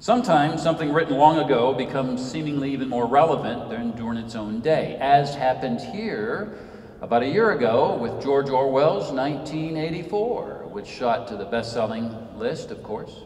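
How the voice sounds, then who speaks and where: Audible room echo surrounds a man speaking at a fairly high pitch. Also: moderate pace. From Senegal, West Africa (American family). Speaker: author and Episcopal priest. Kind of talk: lecture. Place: church.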